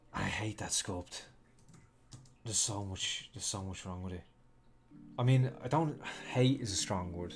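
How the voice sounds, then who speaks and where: A man with an Irish accent speaks at a fairly low pitch, somewhat breathy. He leaves long, frequent pauses. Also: ordinary pitch variation, moderate pace. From Ireland. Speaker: 3D artist and streamer. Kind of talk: casual live-stream chat. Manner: halting, many fillers and restarts.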